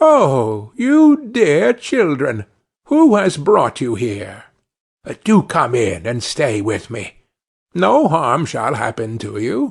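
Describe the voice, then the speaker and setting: A man's fairly high-pitched, put-on character voice at a very slow pace, over a quiet background. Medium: read story.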